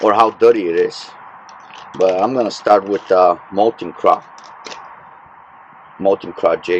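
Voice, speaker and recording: Over noticeable background noise, a man with a fairly low voice speaks at a very slow pace with fairly even intonation. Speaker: fishing vlogger. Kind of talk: casual vlog narration. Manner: hesitant, many fillers; mumbling.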